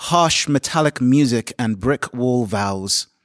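Speaking with a London accent, a man uses lively intonation at a medium pitch. The sound is dry and close, without echo. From London, England. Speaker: poet and teacher. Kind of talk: panel discussion; poetry reading. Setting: live event venue.

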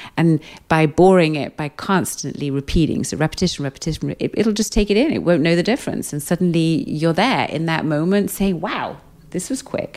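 Fairly quick speech with a British accent. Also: woman, fairly low pitch for a woman, ordinary pitch variation. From Britain, raised in Austria. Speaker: psychologist and hypnotherapist. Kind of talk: interview. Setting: recorded live in Amsterdam. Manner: calm, rhythmic.

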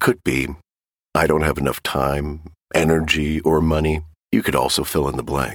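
Speaking with vocal fry and a very deep, low pitch, a man leaves long, frequent pauses. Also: fairly even intonation, moderate pace. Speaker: podcast host introducing the episode. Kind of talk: scripted intro.

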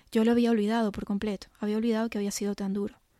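Against a completely silent background, a woman's voice comes through on a very clean recording. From Venezuela. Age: 40s. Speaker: life and business coach. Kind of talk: personal monologue.

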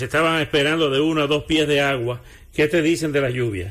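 Speaking at a fairly quick pace, a man uses an ordinary speaking voice with a fairly high pitch and ordinary pitch variation. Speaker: radio host. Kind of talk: live radio news and weather bulletin. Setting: radio studio. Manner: brisk, conversational, rattling off weather figures.

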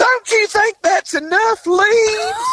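A put-on character voice comes through at an extremely high pitch. The pace is fairly slow. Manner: complaining.

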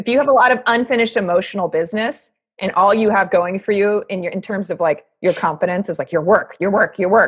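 Her pitch medium and ordinarily varied, a woman talks at a very fast pace with hardly any pauses. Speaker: guest. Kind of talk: casual chat.

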